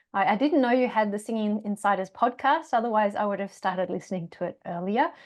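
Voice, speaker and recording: Speaking very fast with a slight Australian accent, a woman has fairly high pitch and ordinary pitch variation. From Australia, Tasmania. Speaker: yoga teacher and singer. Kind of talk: podcast interview. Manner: hesitant, many fillers.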